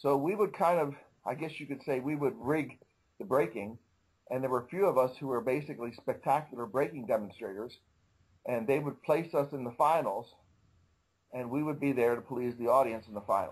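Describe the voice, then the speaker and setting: At a fairly quick pace, a normal speaking voice moves with ordinary pitch variation. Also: man, medium pitch for a man. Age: 60s. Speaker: karate master. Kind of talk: interview. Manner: casual, conversational.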